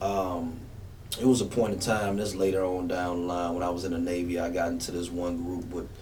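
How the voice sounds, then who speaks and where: Over clearly audible background noise and some room echo, a man speaks at a fairly quick clip. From Memphis, Tennessee (East Memphis). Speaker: rapper. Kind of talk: radio interview. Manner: casual, relaxed.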